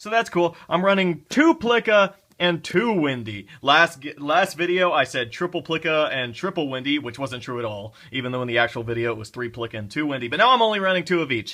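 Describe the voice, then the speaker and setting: A fairly quick delivery with hardly any pauses and very wide pitch swings. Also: man. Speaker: card game deck reviewer. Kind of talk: tutorial. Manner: fast; casual.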